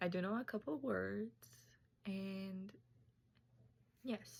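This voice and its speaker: A woman's medium-pitched voice with a Tajik accent. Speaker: student. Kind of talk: class presentation.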